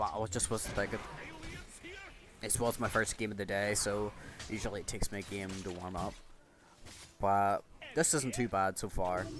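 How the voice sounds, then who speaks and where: A man with a Northern Irish accent speaks at a moderate pace in a fairly low pitch and fairly even intonation. Music plays behind him, and he takes long pauses often. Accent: Northern Irish (Ulster). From Northern Ireland, Ballymena. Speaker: gaming YouTuber. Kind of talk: gameplay commentary. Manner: casual, hesitant with fillers.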